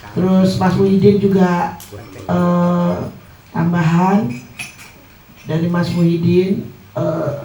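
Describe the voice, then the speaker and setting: A man speaks in a high-pitched voice, with noticeable background noise and audible room echo. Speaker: treasurer giving financial report. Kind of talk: financial report at community meeting.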